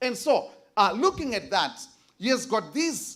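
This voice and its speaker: A Zimbabwean accent at a fairly slow pace. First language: Shona. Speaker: conference presenter, biblical Greek scholar. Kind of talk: academic presentation. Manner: halting, many fillers.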